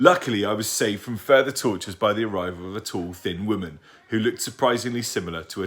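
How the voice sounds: Heard here is a natural reading voice with ordinary pitch variation.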